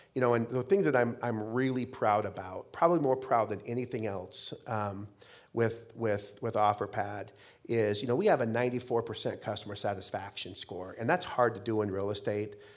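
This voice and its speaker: A man's plain, everyday voice at medium pitch, with ordinary pitch variation and a moderate pace, on a very clean recording with a silent background. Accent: American. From Idaho, US. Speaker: real estate company CEO. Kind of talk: on-stage interview. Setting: stage with audience. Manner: repetitive false starts.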